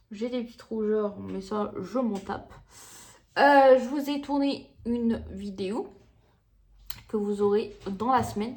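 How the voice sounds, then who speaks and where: The woman talks at a very slow pace. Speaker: beauty vlogger. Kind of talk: casual vlog chat to camera. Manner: hesitant, many fillers.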